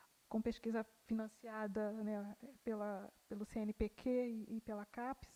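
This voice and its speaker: This woman's voice sits fairly high, with a dark, mellow tone. The sound is dry and close, without any echo. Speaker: panel moderator. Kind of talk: speaker introduction at academic conference. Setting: university conference panel.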